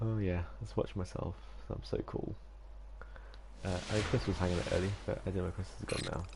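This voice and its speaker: A man talks at a fairly quick pace, with long, frequent pauses. Noticeable noise sits in the background. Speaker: gamer streamer. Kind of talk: live gameplay commentary. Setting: at home, live stream. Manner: whispering, mildly sinister; hesitant, many fillers.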